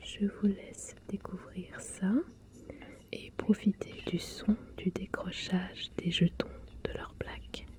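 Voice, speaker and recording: Whispering in a relaxed tone, someone speaks at a very slow pace with long, frequent pauses. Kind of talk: ASMR board game unboxing, soft-spoken voice-over to camera. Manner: soft-spoken, relaxed.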